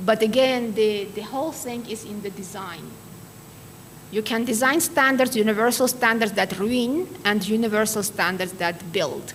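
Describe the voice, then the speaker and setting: With an Armenian accent, a woman talks at a moderate pace and a fairly high pitch with ordinary pitch variation, amid noticeable background noise and audible room echo. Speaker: keynote speaker, quality assurance expert. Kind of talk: lecture.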